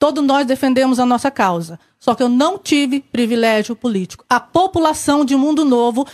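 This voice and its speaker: This woman talks at a moderate pace in a high voice, with lively intonation. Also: dry, close sound with no echo. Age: 30s. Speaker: election candidate, accountant. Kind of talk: candidate interview. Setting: TV studio.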